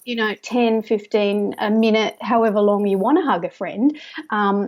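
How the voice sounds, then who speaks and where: A woman with an Australian accent speaks at a moderate pace and fairly high pitch. The recording is very clean, with a silent background. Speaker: stress management specialist. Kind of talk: interview. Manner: gentle soft trance voice when tapping with clients.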